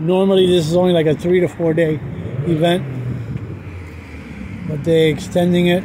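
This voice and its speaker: Over noticeable background noise, a man talks at a high pitch in a monotone, flat way. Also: dry sound with no echo. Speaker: walking tour narrator. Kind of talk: casual vlog chat. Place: street. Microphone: phone near.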